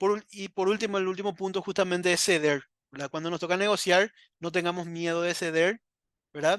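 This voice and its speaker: Against a quiet background, in a dry, close sound with no echo, a man talks fairly quickly at a high pitch with fairly even intonation. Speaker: trainer. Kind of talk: online training lecture. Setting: live video stream. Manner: fast.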